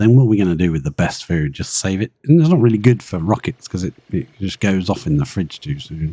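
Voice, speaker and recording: A man with a British accent, a very deep, low pitch, a dark, mellow tone and lively intonation, going at a fairly quick pace with hardly any pauses. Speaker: video game streamer. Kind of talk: live gameplay commentary. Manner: animated.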